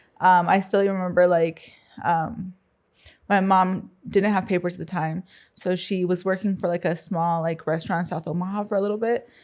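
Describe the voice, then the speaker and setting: In a Spanish accent, a woman speaks at a medium pitch and a moderate pace. Her intonation is monotone and flat. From US Midwest, Council Bluffs, Iowa. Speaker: entrepreneur. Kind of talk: interview. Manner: hesitant, many fillers.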